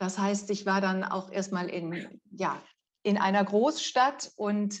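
A woman talks at a very slow pace, her medium-pitched voice holding a fairly even intonation. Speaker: communication coach. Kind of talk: interview. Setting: video call. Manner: articulate.

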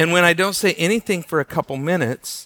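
The voice is loud, with a bright, sharp tone, lively intonation, a moderate pace, and a dry, close sound with no echo. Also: man. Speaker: pastor. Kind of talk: sermon. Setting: church. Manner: halting.

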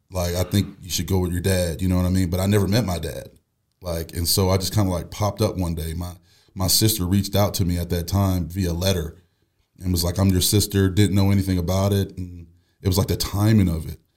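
Very fast speech with an American accent, monotone and flat, on a very clean recording with a silent background. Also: man, very deep, low pitch for a man. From Buffalo, New York. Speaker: former pro football player. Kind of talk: interview testimony.

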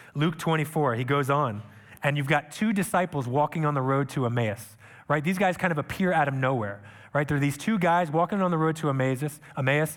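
On a very clean recording with a silent background, a man with a normal speaking voice talks at a fairly quick pace and fairly high pitch. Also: ordinary pitch variation. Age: 30s. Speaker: missionary preacher. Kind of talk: sermon. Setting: church.

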